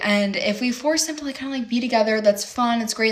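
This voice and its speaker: A woman with a Midwestern accent speaks in an animated tone with ordinary pitch variation. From US Midwest, Chicago area, Illinois. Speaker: reality TV reaction host. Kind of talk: casual live watch-along commentary. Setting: home streaming with pets. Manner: animated, filler-heavy.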